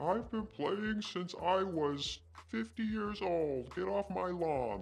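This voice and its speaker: A female-sounding voice performs a put-on character voice at a very slow pace. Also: fairly low pitch for a woman. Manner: crotchety.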